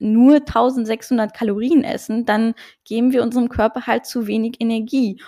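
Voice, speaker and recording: This woman's voice has a fairly high pitch and a dark, mellow tone, moving at a fairly slow pace with fairly even intonation. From Luxembourg. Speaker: nutrition and hormone health coach. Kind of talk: podcast interview.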